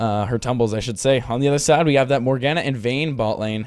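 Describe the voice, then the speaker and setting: A man speaks at a moderate pace with a medium pitch and ordinary pitch variation. His is an unremarkable speaking voice. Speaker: esports caster. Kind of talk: live commentary.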